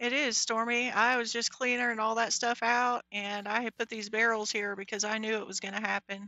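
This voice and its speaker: Quietly and with hardly any pauses, a woman speaks at a moderate pace in a fairly high, monotone, flat voice. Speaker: Minecraft livestreamer. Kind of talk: live gameplay commentary. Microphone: mic volume reported as bad.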